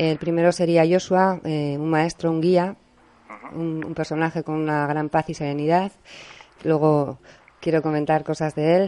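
In a very deep, low voice with a dark, mellow tone, a woman speaks in a monotone, flat intonation. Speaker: radio host. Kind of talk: interview. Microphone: voice too quiet for guest.

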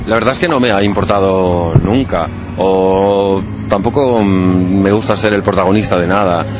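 A man speaks in a fairly low pitch with fairly even intonation and very even loudness. Audible room echo and noticeable background noise fill the recording. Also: fairly slow pace. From Spain, Catalonia (Balaguer, Lleida). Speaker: DJ. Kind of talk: interview. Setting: outdoors in a parking lot.

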